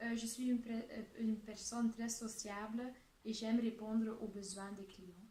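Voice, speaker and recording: A fairly high-pitched woman with a Dutch accent, at a fairly slow pace, with monotone, flat intonation and big swings in loudness, over noticeable background noise. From Flanders, Belgium. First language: Dutch (speaking French). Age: 20s. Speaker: job applicant (student role-play). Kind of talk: role-played job interview. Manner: hesitant, many fillers.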